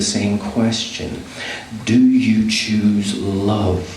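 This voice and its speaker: Over noticeable background noise, a man talks with fairly even intonation and a fairly low pitch. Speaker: spoken word poet. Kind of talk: spoken word poetry performance.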